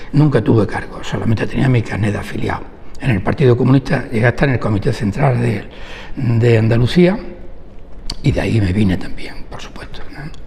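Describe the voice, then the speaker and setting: A man talks at a fairly quick pace in a medium pitch with lively intonation. Noticeable background noise and audible room echo are present. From Huelva, Andalusia, Spain. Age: 70s. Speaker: labour lawyer. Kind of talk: oral history interview.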